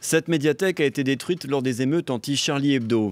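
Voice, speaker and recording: A man talks fairly quickly in a normal speaking voice, medium in pitch, with ordinary pitch variation. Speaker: news reporter. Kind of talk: TV news reporter voice-over and stand-up.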